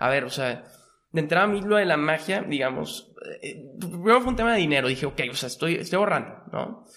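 His pace is very fast. The man's intonation is lively. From Monterrey, northern Mexico. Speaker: magician and entrepreneur. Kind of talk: casual interview.

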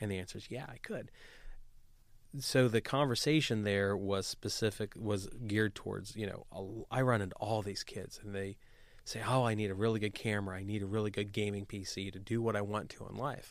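Speaking fairly quickly, a man has a plain, everyday voice, fairly low in pitch, with fairly even intonation. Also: very clean recording, silent background. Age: 30s. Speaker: real estate investor and entrepreneur. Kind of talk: interview.

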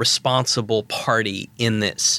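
A man with an American accent speaks at a medium pitch in a bright, sharp tone with fairly even intonation, in a very clean recording with a silent background. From US Northeast, Providence, Rhode Island. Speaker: professor and former national security official. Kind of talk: expert interview.

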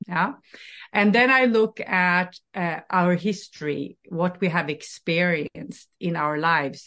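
In a Norwegian accent, the voice moves at a very slow pace. Its tone is bright and sharp, with ordinary pitch variation. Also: woman, fairly low pitch for a woman. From Norway. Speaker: life coach. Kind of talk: interview.

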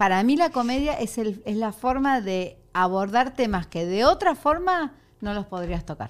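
With an Argentine accent, a woman speaks fairly slowly at a fairly high pitch with very wide pitch swings, in a very clean recording with a silent background. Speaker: comedian. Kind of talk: casual chat.

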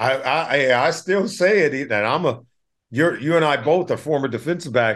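A man with an American accent has a normal speaking voice, fairly high in pitch, with lively intonation. He talks at a fairly quick pace against a quiet background. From Compton, California. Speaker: former NFL player turned broadcaster. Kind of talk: casual interview.

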